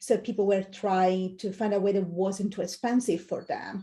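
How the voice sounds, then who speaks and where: Against a quiet background, a woman with an Italian accent speaks at a moderate pace in a medium pitch with a dark, mellow tone. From Italy. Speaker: UX design manager. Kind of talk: interview.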